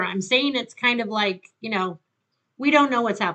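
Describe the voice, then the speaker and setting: A woman speaks loudly at a fairly quick pace with a high pitch. Her tone is bright and sharp, and her pitch swings very widely. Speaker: tarot reader. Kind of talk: tarot reading. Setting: home with windows open.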